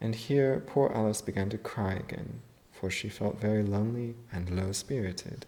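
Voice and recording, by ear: This is someone reading aloud in a natural voice. The pitch varies in an ordinary way.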